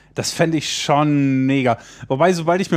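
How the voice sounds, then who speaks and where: With fairly even intonation, a man speaks in a fairly high pitch. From Germany (Baden-Württemberg/Lower Saxony). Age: 30s. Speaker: youth political educator. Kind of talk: casual interview. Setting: at guest's place.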